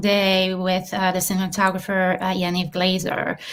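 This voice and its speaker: A woman talks with a French accent. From southern France, Marseille. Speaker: filmmaker and actress. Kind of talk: interview.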